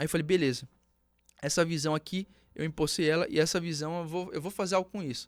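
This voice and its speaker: The recording is very clean, with a silent background. A man speaks very fast in a high pitch. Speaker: entrepreneur, former bank tech worker. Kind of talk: podcast interview, personal story. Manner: animated storytelling.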